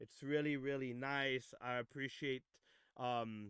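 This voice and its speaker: This man speaks at a medium pitch and a fairly slow pace. His intonation is flat and monotone. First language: French. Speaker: music producer and DJ hosting demo reviews. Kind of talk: livestream demo review, casual chat. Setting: Discord voice chat livestream. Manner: halting, many fillers.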